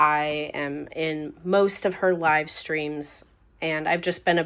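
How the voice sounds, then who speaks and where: This woman speaks at a very slow pace. Her pitch is very deep and low. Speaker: planner and journaling YouTuber. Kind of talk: casual vlog talk to camera.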